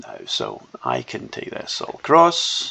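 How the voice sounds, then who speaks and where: Noticeable background noise sits behind a man speaking with a Scottish accent. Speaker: software developer demonstrating own app. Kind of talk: tutorial. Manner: casual, hesitant.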